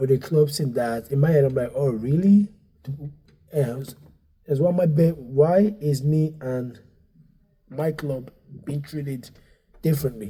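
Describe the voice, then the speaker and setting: Somewhat breathy and dark, mellow in tone, a man with a fairly high pitch speaks at a fairly slow pace with long, frequent pauses. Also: ordinary pitch variation. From Nigeria, raised partly in Dublin. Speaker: stand-up comedian and comedy club owner. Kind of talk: casual podcast interview. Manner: halting, many fillers and restarts; animated.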